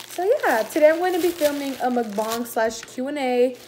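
Over music in the background, a woman with a high pitch speaks at a moderate pace. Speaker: vlogger. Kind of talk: casual vlog chat. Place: home room. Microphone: phone near.

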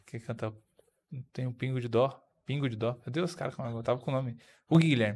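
A man with a medium pitch talks rather quickly. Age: 30s. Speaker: podcast host; podcast guest or host. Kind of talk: casual chat. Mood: relaxed, amused. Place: studio. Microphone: studio mic.

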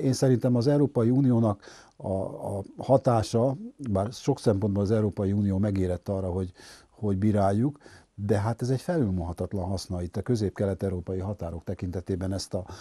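A man speaks at a fairly quick pace with a fairly low pitch, a dark, mellow tone and a somewhat breathy quality. His pitch varies in an ordinary way over a quiet background. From Hungary, Budapest; Hungary. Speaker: sociologist; guest. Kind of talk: interview. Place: studio. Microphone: lapel.

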